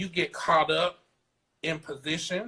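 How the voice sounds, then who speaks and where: A man's high-pitched voice in a South Carolina accent, bright and sharp in tone, with fairly even intonation and a fairly slow pace. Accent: Southern US (South Carolina). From US South, South Carolina. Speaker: fashion designer. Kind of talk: interview.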